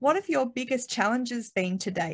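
A woman with an Australian accent speaks with lively intonation. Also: quiet background. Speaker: industry association founder, panel moderator; panel moderator. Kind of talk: webinar panel moderation. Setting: video call. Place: home room. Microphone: earbuds.

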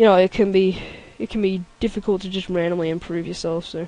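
With an Australian accent, the speech moves along fairly quickly. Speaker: let's play gamer. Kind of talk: gameplay commentary. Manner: hesitant, many fillers. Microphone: mic is fine, crackle is the voice.

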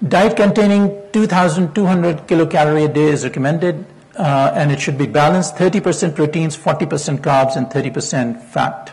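Fairly high-pitched male voice, its pitch varying an ordinary amount. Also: fairly slow pace. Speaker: physician; presenter. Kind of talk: lecture. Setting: stage with audience. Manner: formal. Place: hall. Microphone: lapel.

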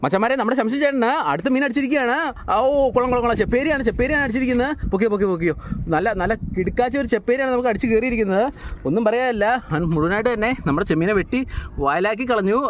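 A man speaks at an extremely high pitch and a very fast pace, with few pauses. His pitch varies in an ordinary way.

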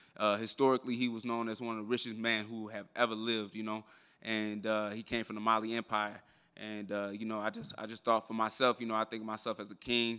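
Against a quiet background, a man talks at a very fast pace. His tone is bright and sharp, his pitch medium. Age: 20s. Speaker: professional MMA fighter. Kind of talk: media day interview. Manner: animated. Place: hall.

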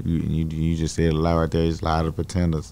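A man with an American accent talks at a fairly quick pace in a very deep, low pitch. His tone is dark and mellow, and his intonation stays monotone and flat. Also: dry sound with no echo. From Dallas, Texas. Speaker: rapper. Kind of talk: interview. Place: studio. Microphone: studio mic.

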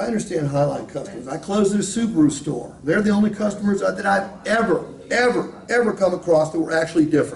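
A high-pitched man talks at a fairly quick pace with ordinary pitch variation. Audible room echo and light background noise are present. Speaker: sales trainer. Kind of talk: training talk with role-play.

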